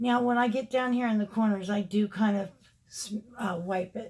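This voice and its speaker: A woman speaks at a moderate pace in a fairly high voice. Her delivery is somewhat breathy with fairly even intonation. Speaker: beauty vlogger. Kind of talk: makeup tutorial chat. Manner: casual, chatty.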